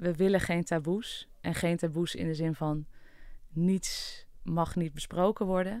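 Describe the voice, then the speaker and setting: A woman's very slow delivery at a fairly low pitch, with fairly even intonation. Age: 30s. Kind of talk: personal testimony interview. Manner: hesitant, many fillers.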